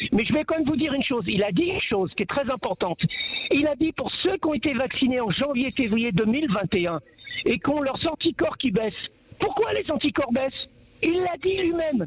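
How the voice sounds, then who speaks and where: A man with an extremely high pitch and very wide pitch swings at a fairly quick pace amid noticeable background noise. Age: 60s. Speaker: caller. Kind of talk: heated debate. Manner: animated.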